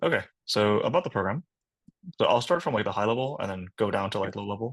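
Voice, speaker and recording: A man talks at a very fast pace with a fairly low pitch. His intonation is lively. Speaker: program director giving an info session. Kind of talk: online info session presentation. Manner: casual with many fillers.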